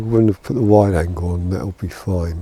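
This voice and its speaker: Soft-spoken, a man talks at a moderate pace with ordinary pitch variation. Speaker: photography vlogger. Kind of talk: casual vlog talk to camera. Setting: outdoors in back garden.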